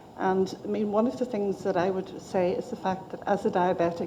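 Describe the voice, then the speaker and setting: The voice carries a Northern Irish accent and fairly even intonation. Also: woman. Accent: Northern Irish (Belfast). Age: 60s. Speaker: patient giving evidence to an inquiry. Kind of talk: testimony.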